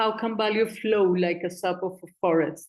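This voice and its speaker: In a Spanish accent, a woman talks at a moderate pace with a medium pitch and fairly even intonation. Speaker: community foundation coordinator. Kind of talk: conference presentation.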